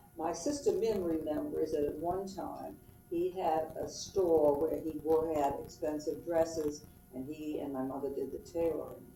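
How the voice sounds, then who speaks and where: Over noticeable background noise and audible room echo, a woman talks at a moderate pace. Her very deep, low pitch holds fairly even intonation. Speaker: family history interviewee. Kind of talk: oral history interview. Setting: at home.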